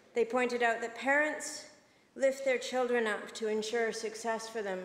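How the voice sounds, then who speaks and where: At a moderate pace, a woman talks with fairly even intonation, with audible room echo and light background noise. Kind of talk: formal speech in a legislature. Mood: earnest, moved. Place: hall. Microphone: podium.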